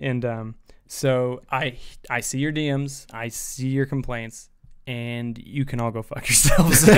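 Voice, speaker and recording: Fairly slow speech from a man with a Midwestern American accent, medium in pitch and fairly even in intonation. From US Midwest. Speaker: podcast co-host. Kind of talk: casual chat. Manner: mumbling. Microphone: far from the mic when guests are on.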